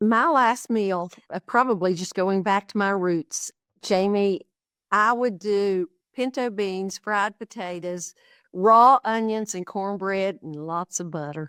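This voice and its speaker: With an American accent, the speaker talks at a very slow pace with ordinary pitch variation, in a dry, close sound with no echo on a very clean recording with a silent background. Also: woman, medium pitch for a woman. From Appalachia, southern West Virginia. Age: 70s. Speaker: cookbook author and cooking influencer. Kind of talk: casual interview chat.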